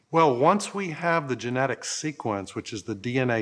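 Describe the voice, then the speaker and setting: Moving at a moderate pace, a normal speaking voice carries ordinary pitch variation. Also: man. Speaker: infectious disease researcher. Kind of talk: interview.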